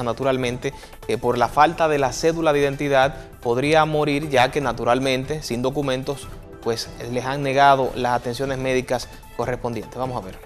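Over faint music in the background, a man talks at a moderate pace with monotone, flat intonation. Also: medium pitch for a man. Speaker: TV news presenter. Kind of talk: TV news read. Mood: serious news tone. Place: studio. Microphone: lapel.

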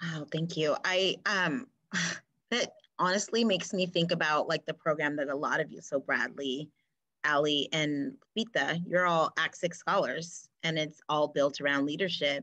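A woman with an American accent speaks at a moderate pace in a fairly low pitch, with a bright, sharp tone and ordinary pitch variation. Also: quiet background. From US Pacific Northwest. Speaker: teacher and webinar moderator; teacher, webinar moderator. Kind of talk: moderated panel discussion. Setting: video call. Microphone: video call.

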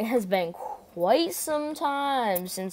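This unforced voice reads with lively intonation.

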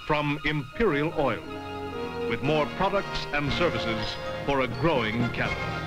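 A man talks at a fairly slow pace. Loud music plays in the background. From Canada. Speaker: voice-over narrator. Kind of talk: TV commercial read. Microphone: old recording.

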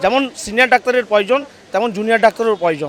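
A man's high voice with ordinary pitch variation, crowd noise behind it. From Medinipur, West Bengal. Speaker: patient's relative. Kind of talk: street interview.

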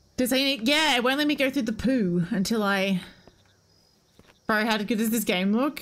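Speaking with an Australian accent, a woman uses a fairly high pitch, ordinary pitch variation and very even loudness at a moderate pace, with long, frequent pauses. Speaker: game streamer. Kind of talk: live gameplay commentary. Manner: casual, animated. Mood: frustrated, amused. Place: home room. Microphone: headset.

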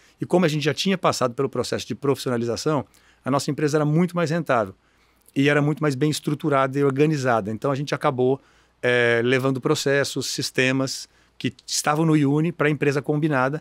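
Against a quiet background, a man talks very fast with fairly even intonation and very even loudness, the sound dry with no echo. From Brazil, Mato Grosso (Cuiabá), raised partly in interior São Paulo; Mato Grosso, Brazil. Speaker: education business executive, board chairman; guest. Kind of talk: interview. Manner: halting, many repeated words. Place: studio. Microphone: studio mic.

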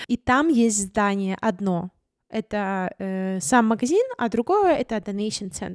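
A woman talks at a very slow pace, her pitch swinging very widely. The sound is dry with no echo, and the background is quiet. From Ukraine, Crimea (Simferopol); Crimea, Ukraine. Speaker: vlogger and photographer; vlogger. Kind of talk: vlog monologue. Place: home room. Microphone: studio mic.

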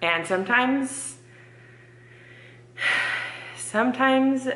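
Audible room echo surrounds a woman as she talks. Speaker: home cleaning vlogger. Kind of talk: casual vlog chat. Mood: sheepish, confessional. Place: kitchen. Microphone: phone near.

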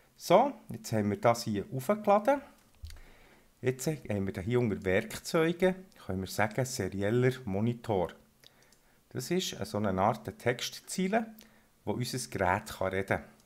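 Talking at a fairly slow pace in a Swiss accent, a man makes very wide pitch swings and takes long, frequent pauses. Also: medium pitch for a man. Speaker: electronics hobbyist / shop presenter. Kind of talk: tutorial. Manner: casual.

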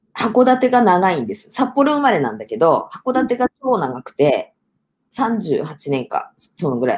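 A woman at a fairly slow pace, with very wide pitch swings and big swings in loudness. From Hokkaido, Japan. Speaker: business producer and speech contest finalist; guest. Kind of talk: interview. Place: home room.

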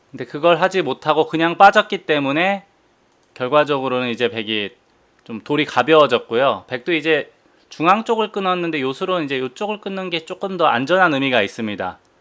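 A man's plain, everyday voice, fairly high in pitch, with lively intonation and a fairly quick pace. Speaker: professional go player and commentator. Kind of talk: game commentary.

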